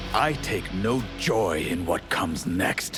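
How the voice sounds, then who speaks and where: Putting on a character voice, a man speaks fairly slowly with a very deep, low pitch over clear background noise. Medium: short film. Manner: formal, archaic.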